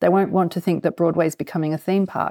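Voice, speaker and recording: A woman speaks with an Australian accent at a fairly low pitch. Her tone is dark and mellow, and her pace is fairly quick. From Australia, Canberra. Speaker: theatre producer. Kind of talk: interview. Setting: remote call.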